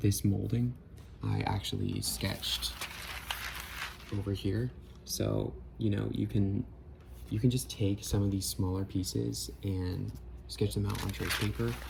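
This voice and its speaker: A soft-spoken man with a very deep, low voice swings widely in pitch at a fairly slow pace. He leaves long, frequent pauses, and there is noticeable background noise. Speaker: architecture student sharing design process. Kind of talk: casual tutorial.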